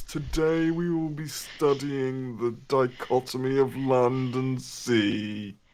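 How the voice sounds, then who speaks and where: A man's put-on character voice at a medium pitch, very slow in pace with hardly any pauses. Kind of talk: formal, academic. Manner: monotone, droning.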